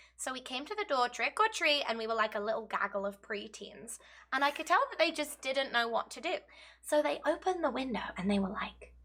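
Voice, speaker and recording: Talking at a fairly quick pace, a woman speaks in an English accent. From England. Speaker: gaming video co-host. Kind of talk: casual chat.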